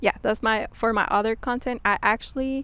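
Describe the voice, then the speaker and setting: The pace is moderate. The speaker has a Spanish accent. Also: woman. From Mexico. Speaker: YouTuber. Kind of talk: casual vlog talk. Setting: outdoors.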